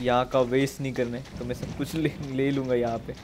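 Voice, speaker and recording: A man talks at a moderate pace with a monotone, flat intonation. Noticeable background noise runs behind him. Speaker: game streamer. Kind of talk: casual gameplay commentary. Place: home room. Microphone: headset.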